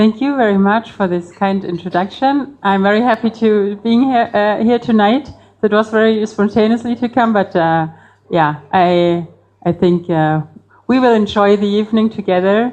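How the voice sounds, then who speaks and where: With a Bavarian accent, a woman speaks at a medium pitch and moderate pace, her pitch varying in an ordinary way and her loudness very even. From Bavaria, Germany. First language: German. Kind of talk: public talk. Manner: hesitant, many fillers.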